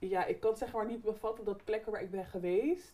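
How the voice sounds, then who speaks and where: A woman at a fairly quick pace. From Netherlands (Barendrecht) with years in Suriname. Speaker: podcast host. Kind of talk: casual chat. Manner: loud, raises voice.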